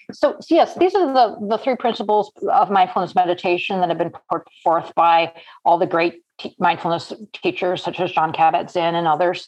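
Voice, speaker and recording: A woman's normal speaking voice with an American accent, medium pitch, ordinary pitch variation and a moderate pace. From US Midwest, Cleveland. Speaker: psychology professor. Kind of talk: casual interview.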